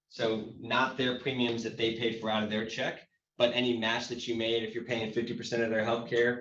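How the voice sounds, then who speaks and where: A man speaks at a medium pitch. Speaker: tax credit consultant. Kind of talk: informational workshop presentation. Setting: hybrid workshop event. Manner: fast.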